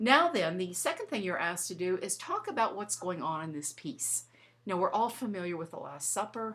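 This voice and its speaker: Delivered at a fairly quick pace, a plain, everyday voice shows ordinary pitch variation. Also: woman. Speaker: art teacher. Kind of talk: tutorial.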